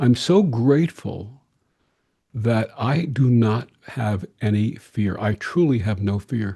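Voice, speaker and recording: Speaking at a very slow pace, a man with a medium-pitched, somewhat breathy voice and a dark, mellow tone uses lively intonation. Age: 70s. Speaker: interfaith minister. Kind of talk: interview.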